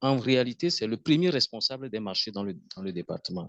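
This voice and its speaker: Recorded dry and close with no echo against a quiet background, a man with a Togolese accent and medium pitch speaks in a bright, sharp tone with lively intonation. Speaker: webinar participant. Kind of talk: online Q&A discussion.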